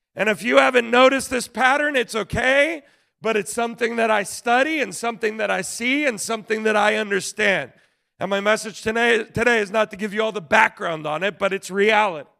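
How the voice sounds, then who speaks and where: A man with a high pitch, raised and projected voice, animated tone, ordinary pitch variation and fairly quick pace, in a very clean recording over a silent background. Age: 40s. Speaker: pastor. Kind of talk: sermon.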